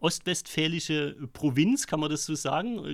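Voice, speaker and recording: Fairly high pitch from a man, captured on a very clean recording against a silent background. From Vogtland, Saxony. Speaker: podcast host. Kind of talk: casual chat. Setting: in a pub.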